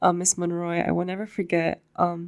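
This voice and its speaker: This woman's voice sits at a fairly low pitch. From East Los Angeles. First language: Spanish. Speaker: university student. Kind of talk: podcast interview.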